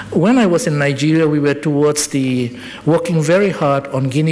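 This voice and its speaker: With noticeable background noise behind him, a man talks at a moderate pace with a fairly high pitch. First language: not English. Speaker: public health expert presenter. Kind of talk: presentation at public forum. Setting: public forum with audience. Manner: halting, self-correcting.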